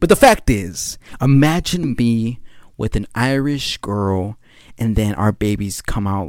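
Animated in tone and lively in intonation, a man with a medium-pitched voice is captured on a very clean recording with a silent background. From California. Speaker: podcast host, film student. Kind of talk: casual solo monologue.

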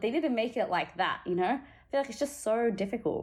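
A woman with an Australian accent, talking at a fairly quick pace with ordinary pitch variation. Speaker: podcast co-host. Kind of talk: casual chat.

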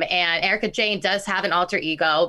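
A bright, sharp tone comes through in a very clean recording with a silent background. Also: woman. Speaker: podcast co-host. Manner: very fast talker; speaks very fast, words rushing.

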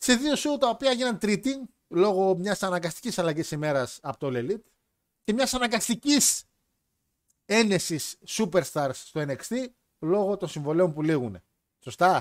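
Fairly slow delivery with long, frequent pauses and very wide pitch swings, on a very clean recording with a silent background. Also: man, high pitch for a man. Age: 20s. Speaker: podcast host. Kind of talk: casual chat.

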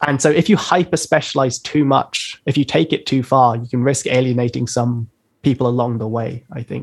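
A man's medium-pitched voice with a London accent, at a moderate pace with ordinary pitch variation. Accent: British English, London. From London, England. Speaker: rapper and producer. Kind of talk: casual interview chat. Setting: video call live stream.

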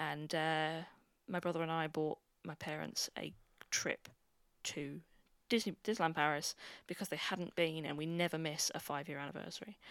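With a British accent and a very deep, low pitch, a woman speaks with fairly even intonation and long, frequent pauses, recorded very cleanly against a silent background. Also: moderate pace. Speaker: podcast host. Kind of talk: casual chat.

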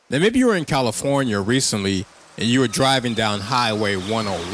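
Noticeable background noise sits under a voice with ordinary pitch variation. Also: man. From Chicago. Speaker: podcast host. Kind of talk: casual monologue commentary.

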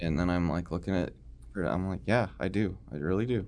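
A man speaks at a moderate pace with vocal fry. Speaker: podcast host discussing horror movies. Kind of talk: casual chat, ranking favorite horror movies.

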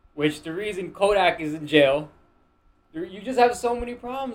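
A man speaks with an American accent. His pitch is high and his pace fairly quick. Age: 20s. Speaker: podcast guest, finance-minded entrepreneur. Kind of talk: casual chat.

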